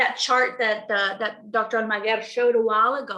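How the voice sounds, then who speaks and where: Audible room echo surrounds this woman's voice. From Texas, Mexican American. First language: Spanish. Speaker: presenter on culture and mental health. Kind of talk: webinar presentation. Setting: online webinar. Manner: hesitant, many fillers.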